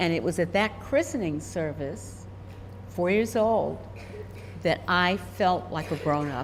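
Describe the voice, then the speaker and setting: A woman's very deep, low voice with vocal fry, very wide pitch swings, a fairly slow pace, and long, frequent pauses. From US, moved around as Army child. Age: 80s+. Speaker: intuitive, retired university administrator. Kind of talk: interview conversation.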